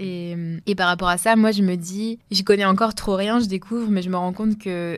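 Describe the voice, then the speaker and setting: A woman in monotone, flat intonation on a very clean recording with a silent background. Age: 20s. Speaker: podcast co-host. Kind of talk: casual discussion.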